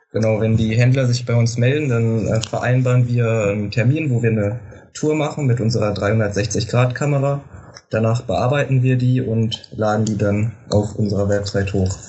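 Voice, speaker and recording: A man with an unremarkable speaking voice talks at medium pitch and a moderate pace, with fairly even intonation and very even loudness. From Lower Saxony, Germany. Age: 18. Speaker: student startup marketing lead. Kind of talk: interview.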